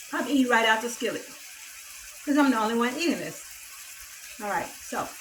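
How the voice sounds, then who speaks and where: Someone with an American accent talks at a fairly quick pace amid audible room echo and noticeable background noise. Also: woman, high pitch for a woman, ordinary pitch variation. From US South, Mississippi. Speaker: cooking YouTuber. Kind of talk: cooking tutorial. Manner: casual, chatty.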